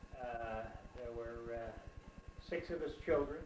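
Audible room echo and light background noise surround a man speaking with an American accent. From New Jersey, USA. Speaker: interviewed grandfather. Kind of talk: interview answer. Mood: calm reminiscing. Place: home room. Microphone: camera far.

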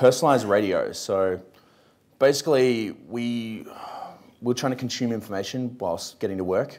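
A man with an Australian accent at a moderate pace, ordinary pitch variation and long, frequent pauses. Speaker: startup co-founder; panelist. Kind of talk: panel discussion. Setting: stage with audience. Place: hall. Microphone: lapel.

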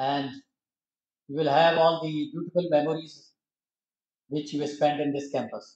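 The voice moves at a moderate pace in a monotone, flat intonation, with long, frequent pauses. Audible room echo surrounds it. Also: man. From India. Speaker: retired railway engineer; guest. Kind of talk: presentation. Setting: stage with audience. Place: hall. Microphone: podium.

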